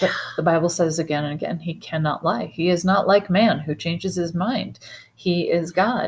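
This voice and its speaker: A woman's fairly low, somewhat breathy voice at a moderate pace, in a very clean recording with a silent background. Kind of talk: Bible teaching discussion, scripture reading.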